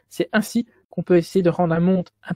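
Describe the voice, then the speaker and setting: Somewhat breathy and dark, mellow in tone, a woman with a Belgian accent talks at a fairly slow pace in a dry, close sound with no echo. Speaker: student lecturer. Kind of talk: lecture. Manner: stuttering.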